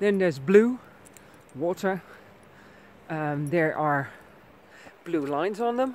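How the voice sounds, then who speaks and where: Over light background noise, a woman with a fairly low pitch talks at a fairly slow pace with lively intonation, and the sound is dry with no echo. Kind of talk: tutorial. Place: open country. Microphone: phone near.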